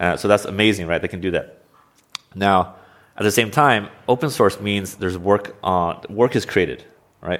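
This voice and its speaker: Moderately paced speech in a normal speaking voice, with ordinary pitch variation. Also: man, fairly low pitch for a man. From US Pacific Northwest (Oregon). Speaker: software engineering manager. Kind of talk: interview.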